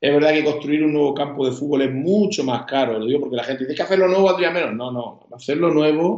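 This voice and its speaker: This is a normal speaking voice at a fairly quick pace. The pitch varies in an ordinary way. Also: man. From Spain, Yecla (Murcia region). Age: 40s. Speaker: mayor. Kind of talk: casual interview.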